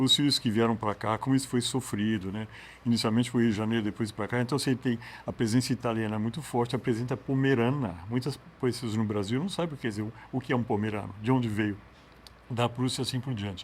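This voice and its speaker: Medium in pitch, a man's voice races along at a very fast pace. The intonation is fairly even. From Minas Gerais, Brazil (Uberaba). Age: 70s. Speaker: book editor. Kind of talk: interview.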